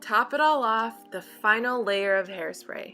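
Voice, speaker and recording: With music in the background, a woman speaks at a fairly slow pace, her pitch swinging very widely. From Philippines. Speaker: beauty vlogger. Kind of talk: hair tutorial voice-over. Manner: friendly, upbeat.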